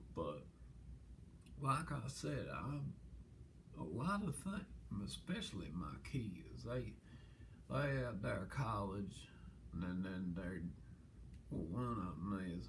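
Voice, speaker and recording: A man's very deep, low voice with very wide pitch swings, a very slow pace and long, frequent pauses, in audible room echo. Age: 70s. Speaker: interviewee. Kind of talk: casual interview. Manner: halting, many restarts.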